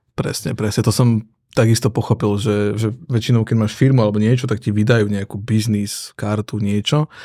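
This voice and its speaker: A man's dark, mellow tone comes at a fairly quick pace with fairly even intonation on a very clean recording with a silent background. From eastern Slovakia, Prešov area. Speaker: entrepreneur and father. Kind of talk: casual chat.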